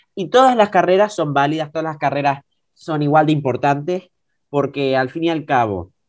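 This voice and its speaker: This is an unremarkable speaking voice: a man with fairly high pitch and lively intonation. He talks at a fairly quick pace against a quiet background. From Tenerife, Canary Islands. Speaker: young guest, student. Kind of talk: casual chat.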